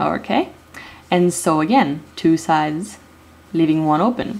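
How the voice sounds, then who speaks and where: Against noticeable background noise, a woman with a non-native accent talks at a fairly slow pace with lively intonation. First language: not English. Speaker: DIY video maker. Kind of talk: tutorial. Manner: hesitant, many fillers.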